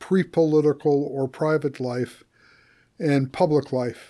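A man speaks at a fairly slow pace with a fairly high pitch. The recording is very clean, with a silent background. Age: 60s. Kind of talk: casual conversation.

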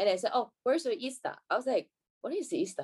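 A woman's high-pitched, very fast talk with very wide pitch swings, in a Chinese accent. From China. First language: Mandarin. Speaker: professional badminton player. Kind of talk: casual interview chat. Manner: halting.

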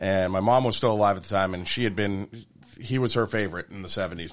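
This man's voice sits fairly low. He speaks very fast. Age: 40s. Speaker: baseball pitching coach. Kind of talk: casual chat. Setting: studio.

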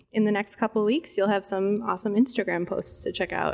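Fairly high-pitched speech from a woman, very clean recording and silent background. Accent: Midwestern US. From US Midwest. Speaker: cheese department manager. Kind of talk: casual interview chat. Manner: animated, cheerful, laughs often.

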